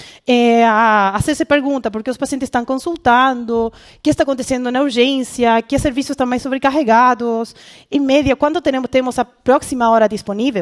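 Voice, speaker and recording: Speaking at a fairly quick pace with a Spanish accent, the voice shows ordinary pitch variation in a dry, close sound with no echo against a quiet background. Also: woman. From Chile. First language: Spanish (speaking Portuguese). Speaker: conference speaker, healthcare product professional. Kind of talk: conference talk. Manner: halting, many fillers and self-corrections.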